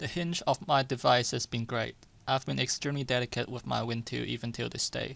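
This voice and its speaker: Here a man talks with a non-native accent. His pace is fairly quick. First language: not English. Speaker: tech YouTuber. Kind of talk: product review. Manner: scripted.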